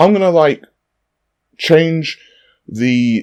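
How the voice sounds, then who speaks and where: A man speaks with a London accent and lively intonation. The background is quiet. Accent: British, London. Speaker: fitness youtuber. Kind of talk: casual tutorial. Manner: casual, conversational.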